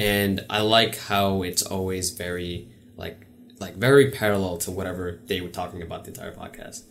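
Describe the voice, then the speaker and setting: Speaking with an American accent, a man uses a very deep, low voice at a moderate pace, with fairly even intonation and big swings in loudness, over noticeable background noise. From New York City. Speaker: podcast host. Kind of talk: casual chat.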